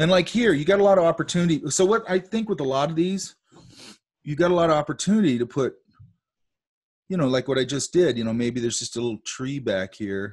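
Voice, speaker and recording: With a quiet background, a man talks at a very fast pace with very wide pitch swings. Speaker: art teacher. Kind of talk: lecture.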